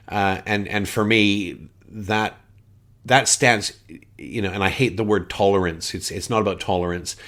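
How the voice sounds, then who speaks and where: In a Canadian accent, this voice moves at a fairly slow pace with fairly even intonation. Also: man, fairly low pitch for a man. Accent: Canadian twang. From Canada, Winnipeg. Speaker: board game podcaster. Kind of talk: casual podcast monologue. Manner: casual, with frequent fillers.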